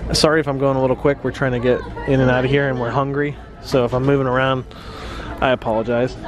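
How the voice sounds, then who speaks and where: A man's flat monotone at a very fast pace, dry with no echo, over noticeable background noise. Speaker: vlogger filming the store. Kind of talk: casual vlog chat. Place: shop. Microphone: phone near.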